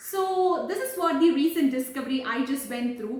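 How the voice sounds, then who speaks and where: Over audible room echo, a woman speaks at a moderate pace with lively intonation. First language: not English. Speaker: English learning vlogger. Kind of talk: casual vlog talk. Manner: hesitant, many fillers.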